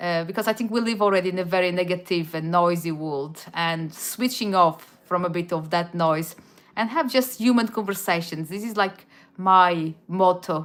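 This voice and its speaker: With a Portuguese accent, a woman speaks at a moderate pace in a fairly low pitch with ordinary pitch variation. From Portugal, Madeira. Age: 40s. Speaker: YouTuber. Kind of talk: casual livestream chat. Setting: live stream. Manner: halting, many restarts.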